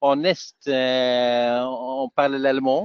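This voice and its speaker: This man has a fairly high pitch. He speaks with a Dutch accent. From Flanders, Belgium (Antwerp). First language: Dutch (speaking French). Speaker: software technical specialist and trainer. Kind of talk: webinar presentation. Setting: online webinar. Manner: halting, many hesitations.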